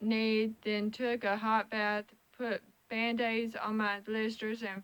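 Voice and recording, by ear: The text is read aloud in a natural voice.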